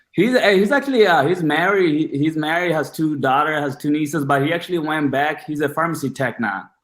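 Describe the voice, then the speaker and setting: Speaking with a slight Bangladeshi accent, a man with a fairly high pitch shows ordinary pitch variation. He keeps a fairly quick pace with hardly any pauses. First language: Bengali. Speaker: personal trainer. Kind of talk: casual interview.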